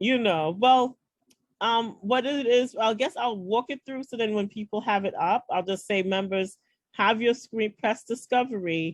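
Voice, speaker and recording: A woman speaks with a New York accent. Her pace is fairly slow. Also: fairly high pitch for a woman, ordinary pitch variation. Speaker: founder of a women's networking group. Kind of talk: online orientation walkthrough. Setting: video call. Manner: hesitant, many fillers.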